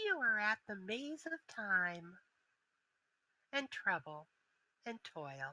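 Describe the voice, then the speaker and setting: A woman's put-on character voice at a medium pitch, with very wide pitch swings, a very slow pace and long, frequent pauses. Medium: actual play. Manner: mocking, smug.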